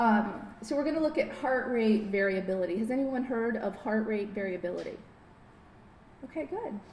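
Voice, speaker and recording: With audible room echo and noticeable background noise, a woman speaks at a fairly high pitch and a moderate pace, using ordinary pitch variation. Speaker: biofeedback therapist. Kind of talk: lecture.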